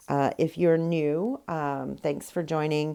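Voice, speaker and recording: A woman speaks at a very slow pace in a very deep, low pitch with a dark, mellow tone and fairly even intonation. The recording is very clean, with a silent background. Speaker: rock painting artist. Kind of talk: tutorial. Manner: hesitant, many fillers.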